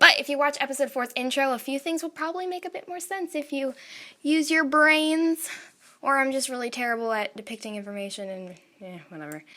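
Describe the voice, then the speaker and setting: A woman talks at a fairly quick pace in a high pitch with lively intonation. Her voice is raised and projected, with big swings in loudness. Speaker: amateur animator and writer. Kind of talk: casual explanation to viewers.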